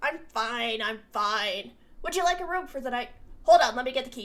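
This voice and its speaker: In a put-on character voice, a woman with a high pitch speaks at a moderate pace with lively intonation. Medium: read story.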